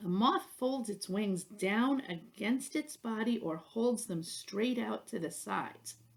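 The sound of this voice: What we hear is an unforced reading voice.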